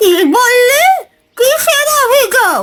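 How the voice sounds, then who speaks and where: This cartoonish character voice is squeaky and extremely high in pitch. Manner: brisk, scolding.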